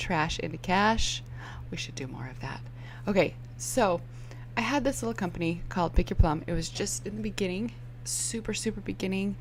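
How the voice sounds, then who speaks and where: A soft-spoken woman with big swings in loudness and long, frequent pauses, in a room with audible echo. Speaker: online business coach. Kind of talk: tutorial. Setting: home, early morning with kids asleep. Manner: animated.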